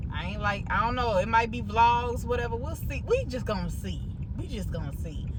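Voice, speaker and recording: Someone talks at a fairly quick pace in an American accent. Noticeable background noise runs beneath the voice. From Chicago suburbs (Maywood), Illinois. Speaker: food review vlogger. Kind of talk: casual vlog chat. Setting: in a car, driving. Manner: chatty, rambling, casual.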